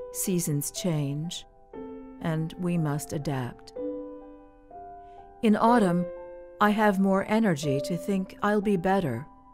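A woman with a fairly low pitch speaks at a very slow pace with lively intonation and long, frequent pauses, with music playing in the background. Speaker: radio announcer. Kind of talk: poetry reading.

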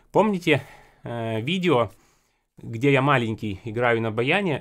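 The man goes at a fairly slow pace against a quiet background. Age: 20s. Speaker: accordion teacher and video blogger; accordion teacher, video blogger. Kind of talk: casual tutorial. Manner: conversational, repetitive. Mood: relaxed, mildly exasperated. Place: home room. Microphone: studio mic.

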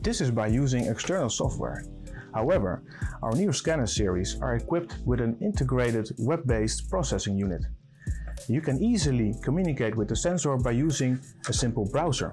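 Faint music plays behind a man who talks at a fairly quick pace with very even loudness. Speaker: presenter. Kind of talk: product presentation. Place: studio.

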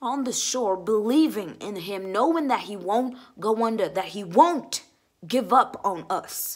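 Over a quiet background, a woman talks at a fairly slow pace with lively intonation and big swings in loudness. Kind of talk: dramatic monologue. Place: home room. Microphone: phone near.

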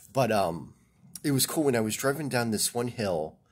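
A man speaks at a moderate pace with ordinary pitch variation. Behind him the background is quiet. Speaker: vlogger. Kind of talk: casual vlog chat. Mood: relaxed, cheerful. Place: home room. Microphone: phone near.

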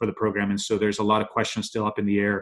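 A man talks with a fairly low pitch.

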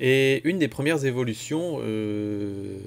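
Light background noise sits behind a man's speech. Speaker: photography vlogger. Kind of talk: casual vlog chat.

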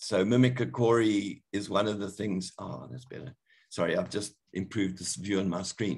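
Vocal fry runs through a man's voice as his intonation stays lively. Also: quiet background. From Zimbabwe. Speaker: botany professor. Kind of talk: lecture. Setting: video call. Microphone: webcam.

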